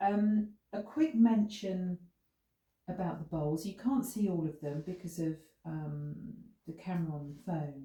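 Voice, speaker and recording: This voice has a dark, mellow tone, a somewhat breathy quality, lively intonation and a fairly slow pace. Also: woman. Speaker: sound healing practitioner. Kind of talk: instructional talk. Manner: hesitant with fillers; gentle.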